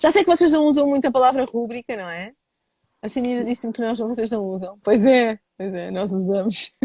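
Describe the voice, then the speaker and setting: At a fairly quick pace, a woman with a European Portuguese accent speaks high in pitch with very wide pitch swings. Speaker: live show host. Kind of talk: casual live-stream interview. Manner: fast; swallows words.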